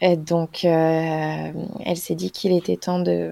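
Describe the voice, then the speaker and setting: The woman's voice sits at a fairly low pitch. It sounds dry and close, with no echo. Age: 20s. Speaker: naturopath. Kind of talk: casual chat.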